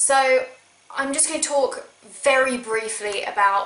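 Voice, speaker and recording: A woman with ordinary pitch variation, amid audible room echo and noticeable background noise. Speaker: video game vlogger. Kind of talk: casual vlog talk. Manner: sarcastic.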